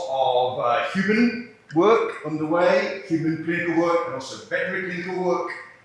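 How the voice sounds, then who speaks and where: A man with a northern English accent speaks at a fairly quick pace in a high voice with ordinary pitch variation. Noticeable background noise and audible room echo are present. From northern England. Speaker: scientist. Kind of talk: seminar presentation.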